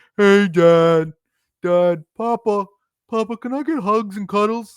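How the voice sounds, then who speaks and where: The speaker puts on a character voice with a fairly high pitch and a fairly slow pace. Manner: cutesy, affectionate.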